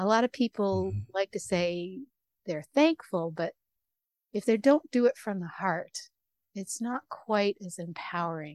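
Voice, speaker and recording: In an unremarkable speaking voice of medium pitch, a woman talks with lively intonation and big swings in loudness. The sound is dry and close with no echo. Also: fairly slow pace. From Canada. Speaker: radio host. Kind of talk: interview conversation.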